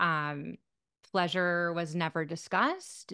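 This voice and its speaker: The tone is bright and sharp, with an American accent. The background is quiet. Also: woman. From US Midwest, Michigan. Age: 40s. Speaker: sex therapist. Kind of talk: interview. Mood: reflective, personal. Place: home room. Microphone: studio mic.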